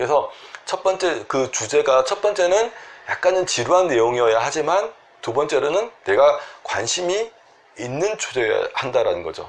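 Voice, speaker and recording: Pitched high for a man, this man's voice swings very widely up and down. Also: moderate pace. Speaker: Korean medicine doctor treating sleep disorders. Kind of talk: health advice talk to camera.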